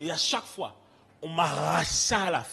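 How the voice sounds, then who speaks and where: Someone with an Antillean accent talks at a fairly slow pace in an animated tone. Audible room echo and noticeable background noise come through. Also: man. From French Antilles. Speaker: preacher. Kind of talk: sermon.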